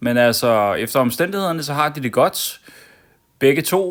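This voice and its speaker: A man's medium-pitched voice at a fairly slow pace, with lively intonation, on a very clean recording against a silent background. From Denmark, Copenhagen (Amager). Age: 40s. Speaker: vlogger. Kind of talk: personal vlog monologue. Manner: calm, hesitant with many fillers.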